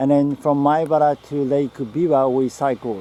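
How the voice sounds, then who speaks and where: A man with a Japanese accent speaks at a fairly slow pace. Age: 50s. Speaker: health author and biohacker. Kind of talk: casual talk to camera while walking. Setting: outdoors.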